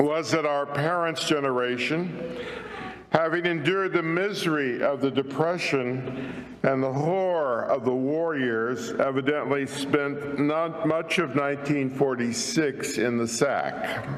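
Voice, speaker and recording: A man with a fairly high pitch and ordinary pitch variation speaks at a fairly slow pace, with noticeable background noise and audible room echo. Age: 70s. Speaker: minister. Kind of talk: sermon.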